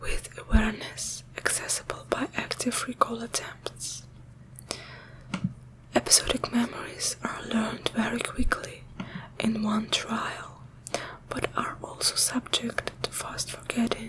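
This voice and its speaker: A woman whispers at a fairly slow pace with long, frequent pauses, amid noticeable background noise. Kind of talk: ASMR reading of a scientific article. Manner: whispered, soft-spoken.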